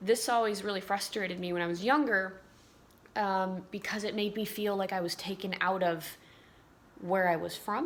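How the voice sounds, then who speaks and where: This woman has an ordinary speaking voice at a medium pitch. She talks fairly quickly with fairly even intonation. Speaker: vlogger. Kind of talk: casual chat.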